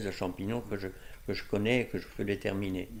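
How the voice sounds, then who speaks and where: A man talks with vocal fry at a fairly low pitch. His intonation is monotone and flat. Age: 80s+. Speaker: painter and amateur mycologist. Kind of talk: interview answer.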